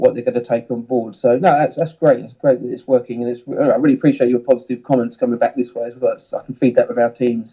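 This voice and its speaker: Delivered at a very fast pace with hardly any pauses, this voice has a southern English accent, a dark, mellow tone, flat monotone intonation and big swings in loudness. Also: man, medium pitch for a man. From southern England, Hemel Hempstead. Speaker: ski instructor and snowsports manager. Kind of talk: podcast interview. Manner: hesitant, many fillers and repeats.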